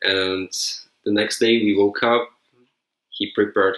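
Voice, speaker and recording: The man's voice is fairly low, and he talks at a moderate speed. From Czech Republic. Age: 20s. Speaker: traveler. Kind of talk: casual chat. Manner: halting.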